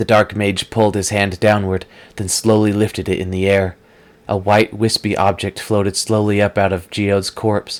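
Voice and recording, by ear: Someone reads aloud here in a natural voice.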